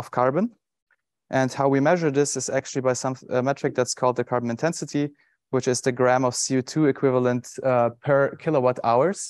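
Against a quiet background, a man speaks at a moderate pace in a monotone, flat intonation, the sound dry with no echo. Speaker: presenter. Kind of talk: conference talk. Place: stage.

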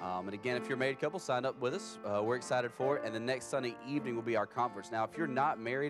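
Clear music plays in the background as a man talks at a very fast pace with hardly any pauses, his pitch variation ordinary and the sound dry with no echo. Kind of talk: church announcements. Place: church.

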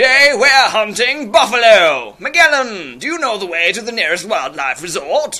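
A man's raised, projected voice hits an extremely high pitch with very wide swings at a moderate pace. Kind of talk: comic overacting. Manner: bossy, shouty, excitable.

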